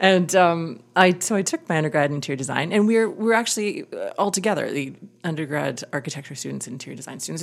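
In a Canadian accent, a woman talks at a fairly quick pace with a fairly low pitch, vocal fry and lively intonation. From Canadian prairies, Winnipeg. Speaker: theatre designer. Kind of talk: interview. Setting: backstage boardroom, noisy.

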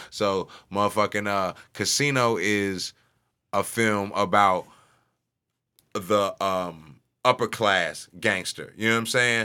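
A man with an American accent and a fairly low pitch speaks at a very slow pace with long, frequent pauses in a bright, sharp tone on a very clean recording with a silent background. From St. Louis, Missouri (North City). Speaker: musician / rapper. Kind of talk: casual chat. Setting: studio. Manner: animated.

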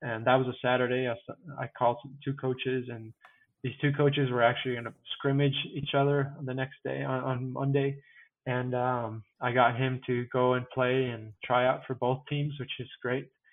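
The intonation stays monotone and flat. The speaker is a man of medium pitch. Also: moderate pace. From Mexico, Puebla. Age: 30s. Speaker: sports ministry director. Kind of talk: casual interview.

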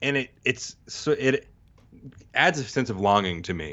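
A man with an American accent. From Texas and Mississippi. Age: 30s. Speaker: podcast host and bass player. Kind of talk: casual chat.

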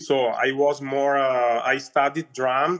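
Very slow pace in an Italian accent. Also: man. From Northern Italy. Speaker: opera singer. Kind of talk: interview conversation. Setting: video call. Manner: halting.

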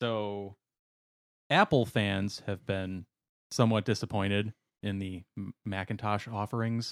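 Speaking slowly with long, frequent pauses, a man with an American accent uses a fairly low pitch and fairly even intonation, recorded dry and close with no echo on a very clean recording with a silent background. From Wisconsin. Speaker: podcast co-host. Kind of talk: casual chat.

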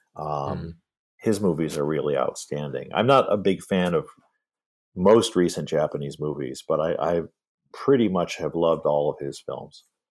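A man speaks with a Midwestern American accent. His pace is moderate. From US Midwest, Michigan. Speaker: film historian and author. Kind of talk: interview.

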